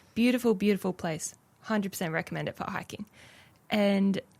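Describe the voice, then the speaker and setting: A woman talks with an Australian accent. Her pitch rises and falls in an ordinary way. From Australia, Brisbane (Logan). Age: 20s. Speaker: radio producer. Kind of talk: testimony.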